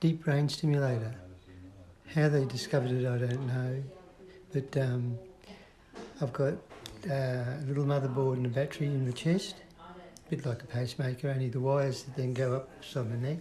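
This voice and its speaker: With an Australian accent, a man talks at a fairly quick pace and medium pitch, his intonation fairly even, with long, frequent pauses and noticeable background noise. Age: 60s. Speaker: person living with Parkinson's. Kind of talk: interview.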